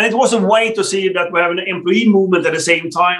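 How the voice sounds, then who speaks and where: Spoken with a Swedish accent and ordinary pitch variation, the voice sits over a quiet background. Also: man. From Sweden. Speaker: telecom executive; guest. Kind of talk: interview. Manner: halting, many fillers. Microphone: video call.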